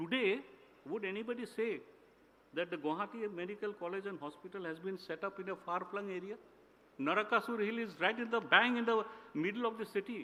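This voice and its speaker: A man uses a raised, projected voice at a high pitch, with ordinary pitch variation and a fairly quick pace. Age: 60s. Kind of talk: formal ceremonial speech. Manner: formal.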